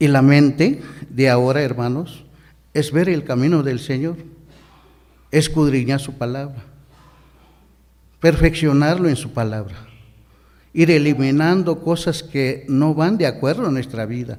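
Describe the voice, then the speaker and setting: A man's fairly high voice in a Chiapas accent, at a fairly slow pace with long, frequent pauses, ordinary pitch variation and audible room echo. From Mexico, Chiapas highlands. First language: Ch'ol (speaking Spanish). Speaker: deacon preacher. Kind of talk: sermon.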